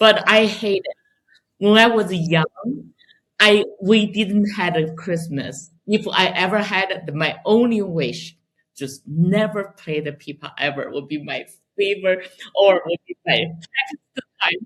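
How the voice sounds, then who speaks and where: Speaking fairly slowly with a Chinese accent, a woman uses a medium pitch, ordinary pitch variation and big swings in loudness. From China. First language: Mandarin Chinese. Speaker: pipa player and composer. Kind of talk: interview conversation.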